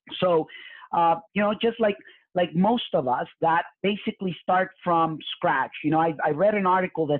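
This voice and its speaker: In a Spanish accent, a man speaks at a high pitch with an animated tone and ordinary pitch variation. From Mexico. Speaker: real estate investor and coach. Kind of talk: live webinar presentation. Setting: live online webinar. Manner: animated, repetitive with many fillers.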